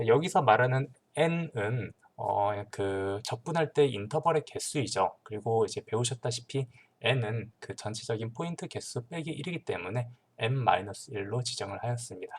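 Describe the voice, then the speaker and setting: A man speaks at a moderate pace and medium pitch with lively intonation. His voice is somewhat breathy. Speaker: teaching assistant. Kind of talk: tutorial. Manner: hesitant, many fillers.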